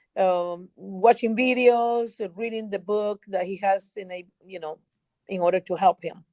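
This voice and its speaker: This woman has a dark, mellow tone at medium pitch and speaks at a fairly slow pace with a Spanish accent. Her intonation is fairly even, her loudness swings widely, and the sound is dry and close with no echo. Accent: Spanish-speaking foreign. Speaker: educator. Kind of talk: interview. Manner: halting, with repetitions.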